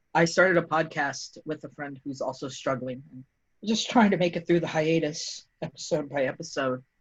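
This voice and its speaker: A woman's voice with a very deep, low pitch, a moderate pace and big swings in loudness. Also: ordinary pitch variation. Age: 20s. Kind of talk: casual chat.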